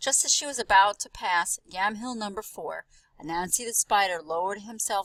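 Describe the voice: Ordinary pitch variation in plain reading aloud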